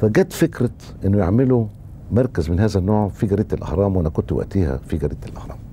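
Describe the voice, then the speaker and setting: Fairly low in pitch, a man speaks at a very fast pace with lively intonation. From Egypt, Cairo. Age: 60s. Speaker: political writer and journalist. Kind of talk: interview.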